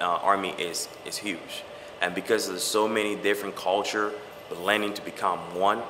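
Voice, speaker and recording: Against noticeable background noise and audible room echo, a man speaks at a fairly low pitch and a moderate pace in a monotone, flat intonation. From Liberia. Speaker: soldier. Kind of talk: interview.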